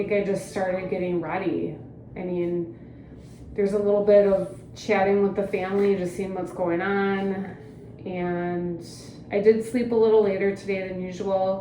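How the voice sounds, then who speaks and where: In a room with audible echo, a woman speaks at medium pitch and a moderate pace with fairly even intonation. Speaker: lifestyle vlogger, mom. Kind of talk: casual vlog chat. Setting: outdoors in backyard.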